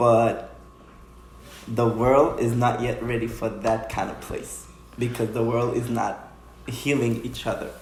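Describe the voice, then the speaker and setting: Speech comes at a fairly slow pace with audible room echo. Noticeable background noise runs underneath. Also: man. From Haiti, raised in Stamford, Connecticut. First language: Haitian Creole or French. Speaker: dancer. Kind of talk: casual interview.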